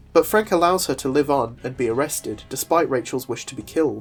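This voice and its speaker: The speech moves at a fairly quick pace over music in the background. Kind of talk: comic book video essay narration.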